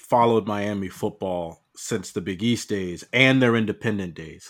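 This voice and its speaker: A man with an American accent has an ordinary speaking voice, fairly low in pitch with ordinary variation. He speaks at a moderate pace on a very clean recording with a silent background. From New Jersey (Piscataway). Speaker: college football podcast guest. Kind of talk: casual chat.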